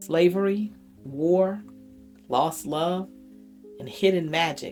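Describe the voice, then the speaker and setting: With music playing in the background, a woman speaks in a fairly low pitch with an American accent. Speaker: storyteller. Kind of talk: personal storytelling to camera.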